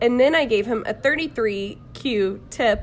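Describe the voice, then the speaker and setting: A woman with an American accent speaks at a very slow pace. Her pitch is fairly high, with ordinary pitch variation. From US South, Jacksonville, Florida. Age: 20s. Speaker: missionary traveler. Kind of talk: casual chat.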